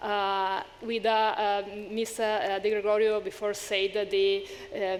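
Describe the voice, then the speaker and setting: A woman's medium-pitched voice in an Italian accent, monotone and flat, at a moderate pace. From Italy. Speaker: panelist, social enterprise support worker. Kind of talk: panel discussion. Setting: stage with audience. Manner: halting, many hesitations.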